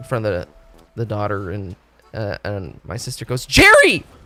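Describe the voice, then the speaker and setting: A man is speaking. Music plays in the background. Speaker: video game streamer. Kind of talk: casual live stream chat. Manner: loud; animated, halting.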